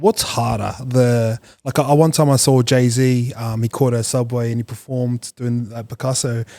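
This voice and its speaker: A man with a New Zealand accent, medium pitch, and a dark, mellow tone, in a monotone, flat delivery with a dry, close sound, no echo, and a very clean recording with a silent background. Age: 30s. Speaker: podcast host. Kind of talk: casual chat.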